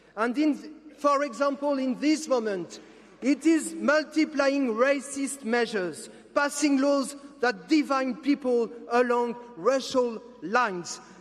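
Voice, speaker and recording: Over noticeable background noise, a man speaks at a very slow pace with an extremely high pitch, ordinary pitch variation and very even loudness. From France. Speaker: politician. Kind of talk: political speech. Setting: stage with audience. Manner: impassioned.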